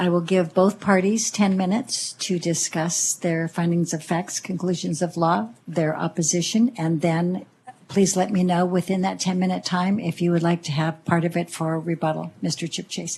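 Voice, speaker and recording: A soft-spoken woman talks at a moderate pace. Her fairly low voice keeps a fairly even intonation. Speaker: planning commission chair. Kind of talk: public meeting chairing. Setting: public hearing, partly online. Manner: formal.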